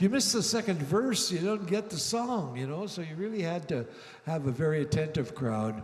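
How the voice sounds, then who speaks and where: A somewhat breathy voice with a Canadian accent moves at a moderate pace through very wide pitch swings, with audible room echo. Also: man. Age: 70s. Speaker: singer-songwriter. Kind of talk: stage banter between songs. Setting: stage with audience. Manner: halting, many fillers.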